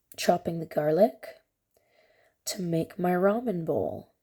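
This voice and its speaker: This woman has a medium pitch and a dark, mellow tone, with ordinary pitch variation. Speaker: cooking vlogger. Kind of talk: casual cooking vlog chat. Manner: quiet to avoid waking child.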